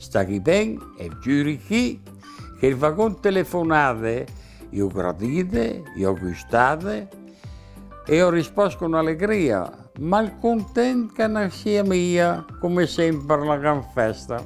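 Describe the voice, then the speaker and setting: Music plays in the background as a man with a Mantuan accent speaks very slowly in a fairly high pitch, his pitch swinging very widely. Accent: Northern Italian, Mantuan. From Northern Italy. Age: 80s+. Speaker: humorist, dialect poet. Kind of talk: dialect poetry reading.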